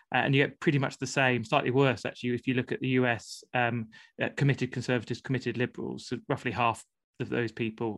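A man talks at a very fast pace with vocal fry and a medium pitch. His intonation is flat and monotone over a quiet background. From Plymouth, southwest England. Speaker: author and charity leader. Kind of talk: casual chat. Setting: video call. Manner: halting.

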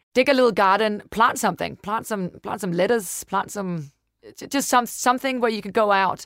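A woman with a Danish accent, fairly quick and lively in intonation, in a very clean recording with a silent background and a dry, close sound with no echo. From Denmark. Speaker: podcast co-host and business co-founder. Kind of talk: casual chat.

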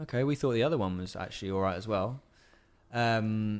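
A man with a West Country accent, medium-pitched, at a fairly quick pace, on a very clean recording with a silent background. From Bristol, England. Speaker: songwriter and vocal coach. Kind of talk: casual chat.

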